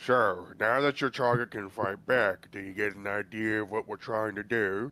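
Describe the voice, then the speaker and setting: A man's put-on character voice, fairly low, at a moderate pace, dry and close with no echo on a very clean recording, silent background. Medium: actual play. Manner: firm, blunt.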